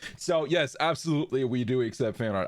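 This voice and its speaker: A man speaks at a very fast pace. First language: German. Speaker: VTuber streamer. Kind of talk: casual live stream chat. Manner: lower energy than usual.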